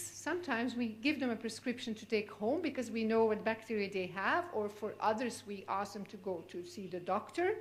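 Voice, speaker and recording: A woman with a Flemish accent talks at a moderate pace with hardly any pauses, her fairly high voice carrying lively intonation and big swings in loudness over audible room echo. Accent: Belgian (Flemish) accent in English. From Belgium. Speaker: physician, cystic fibrosis specialist. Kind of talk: lecture. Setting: conference stage with audience.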